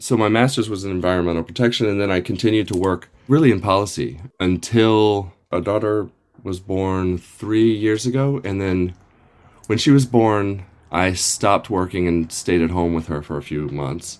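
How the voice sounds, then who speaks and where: Recorded very cleanly against a silent background, the speaker uses an American accent at a moderate pace with ordinary pitch variation. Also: man, fairly low pitch for a man. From US, Northern Virginia. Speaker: teacher. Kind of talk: interview. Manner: halting, many fillers.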